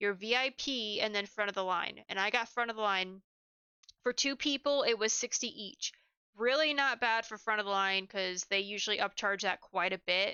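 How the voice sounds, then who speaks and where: A woman at a fairly quick pace, her pitch fairly high with ordinary pitch variation. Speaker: podcaster reviewing haunted houses. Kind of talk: casual review monologue. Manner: fast; halting, many fillers.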